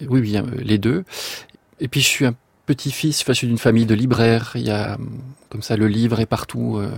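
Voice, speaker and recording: Here a man talks at medium pitch and a moderate pace, with fairly even intonation. Long, frequent pauses break up his speech. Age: young. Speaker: composer. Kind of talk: radio interview.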